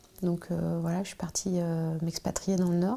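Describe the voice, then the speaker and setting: A woman at a medium pitch speaks in a dark, mellow tone with monotone, flat intonation. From France, Charente. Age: 30s. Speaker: archaeologist and trade unionist. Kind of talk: interview. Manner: hesitant, many filler sounds.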